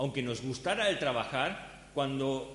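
A somewhat breathy man at medium pitch, with audible room echo. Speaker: pastor. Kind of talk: sermon.

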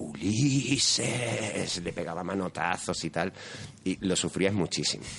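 Very slowly, a man speaks with a Spanish accent and a very deep, low pitch. His intonation is lively. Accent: Spanish (Spain). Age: 30s. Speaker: anime and manga enthusiast. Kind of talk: casual chat.

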